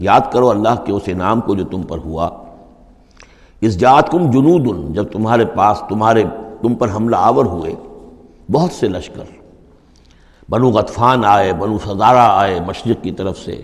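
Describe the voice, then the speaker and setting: Pitched fairly low, a man talks in a normal speaking voice whose pitch moves in an ordinary way. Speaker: Islamic scholar. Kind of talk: Quran exegesis lecture.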